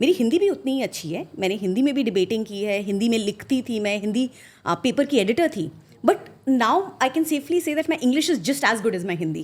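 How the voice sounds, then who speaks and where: A woman with a fairly high pitch speaks in very wide pitch swings. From India, Assam (Guwahati). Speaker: finance professional, former investment banker. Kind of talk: podcast interview. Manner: code-switching Hindi and English, many fillers.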